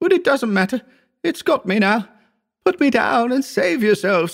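A man puts on a character voice at an extremely high pitch with big pitch swings. He goes at a fairly slow pace, with vocal fry.

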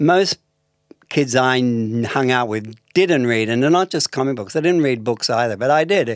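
A man at medium pitch with an Australian accent, moderate pace and ordinary pitch variation, in a dry, close sound with no echo and a very clean recording with a silent background. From Melbourne, Australia. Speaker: artist and novelist. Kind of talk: interview conversation.

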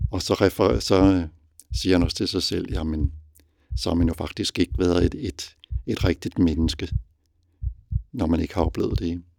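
The man's voice sits very deep and low, with vocal fry and lively intonation. He moves at a fairly slow pace, leaving long, frequent pauses. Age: 60s. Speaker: father and reader. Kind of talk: interview.

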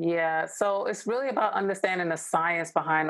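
Speaking with an American accent, a woman uses a plain, everyday voice. Her pitch is fairly low, with ordinary variation. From New York. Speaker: organizational development strategist and author. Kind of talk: interview.

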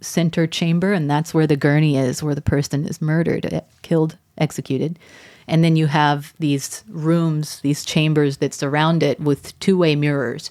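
With an American accent, a woman speaks at a moderate pace in a very deep, low voice, her dark, mellow tone delivered with monotone, flat intonation. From Texas, Arlington. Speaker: opinion journalist. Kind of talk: interview.

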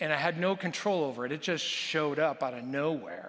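A man speaks in a plain, everyday voice at a moderate pace. His pitch is fairly high. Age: 50s. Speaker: pastor. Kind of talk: sermon. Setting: church.

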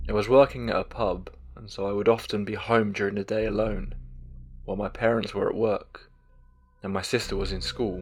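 A man's solemn, dramatic tone at a fairly quick pace, with music in the background. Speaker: horror story narrator. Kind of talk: scripted narration of first-person ghost story. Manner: measured, solemn, eerie tone with dramatic pauses.

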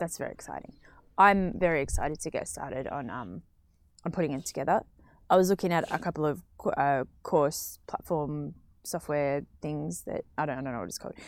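A woman speaks in a very deep, low pitch with vocal fry, lively intonation and big swings in loudness. The recording is very clean, with a silent background. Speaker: podcast co-host. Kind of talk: casual chat. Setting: studio.

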